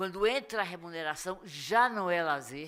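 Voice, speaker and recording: A woman's bright, sharp tone comes through at a fairly slow pace with ordinary pitch variation in a very clean recording with a silent background. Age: 80s+. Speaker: school drug prevention educator. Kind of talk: lecture.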